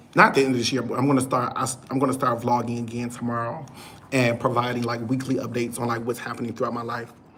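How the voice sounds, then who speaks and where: Very fast speech in an American accent, with noticeable background noise. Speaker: YouTube vlogger. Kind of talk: solo livestream chat.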